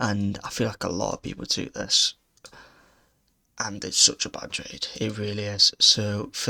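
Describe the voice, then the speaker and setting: Quiet and fairly low-pitched, this man with a British accent has a bright, sharp tone. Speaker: day trader. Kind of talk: trade recap commentary. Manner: quiet, subdued.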